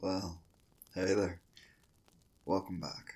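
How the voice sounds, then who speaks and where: A man speaks in a soothing, calm tone at a very deep, low pitch. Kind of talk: ASMR roleplay pep talk.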